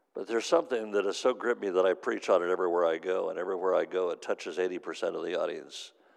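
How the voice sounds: Fast, low-pitched speech from a man, with vocal fry and fairly even intonation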